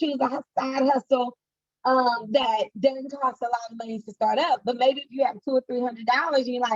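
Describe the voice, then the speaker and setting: The sound is dry and close, with no echo. A woman speaks in an animated tone at a high pitch. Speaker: entrepreneur and financial coach giving a talk. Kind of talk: online presentation to students. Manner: fast.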